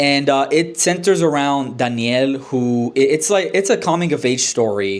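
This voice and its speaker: With a Spanish accent, a man speaks at a moderate pace and fairly high pitch. His intonation is lively and his loudness very even. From Honduras. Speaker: book reviewer. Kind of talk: casual book review vlog. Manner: hesitant, many fillers and restarts.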